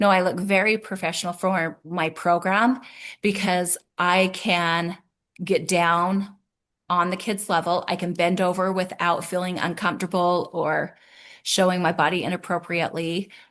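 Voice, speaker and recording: In a quiet background, a woman speaks at a moderate pace with a fairly low pitch and a monotone, flat intonation. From rural farm upbringing. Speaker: early childhood program founder and educator. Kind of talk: podcast interview.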